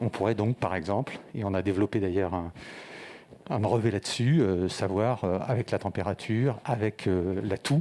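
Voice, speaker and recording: A man speaks in an ordinary speaking voice, fairly low in pitch, with ordinary pitch variation. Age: 60s. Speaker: startup founder. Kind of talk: pitch presentation.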